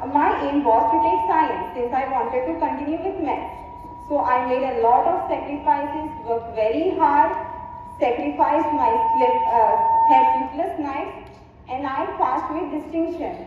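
Over loud background noise and audible room echo, a woman talks at a fairly slow pace. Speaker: speaker. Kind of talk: speech. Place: stage.

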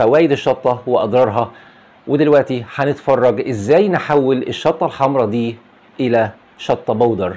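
The speaker is a man with ordinary pitch variation. His delivery runs at a moderate pace. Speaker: gardening channel host. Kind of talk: tutorial. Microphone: lapel.

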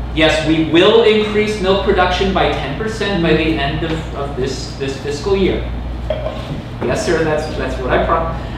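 Amid noticeable background noise and a strong room echo, a man speaks at a moderate pace. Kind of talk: improvised comedy scene dialogue. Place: stage. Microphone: camera far.

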